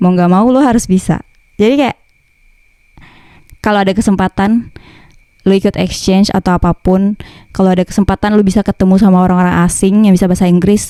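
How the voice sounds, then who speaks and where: Speaking at a very fast pace yet with long, frequent pauses, a woman's medium-pitched voice has a dark, mellow tone, very even loudness and fairly even intonation, with a dry, close sound and no echo. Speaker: vlogger. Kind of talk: casual vlog talk. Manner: casual slangy.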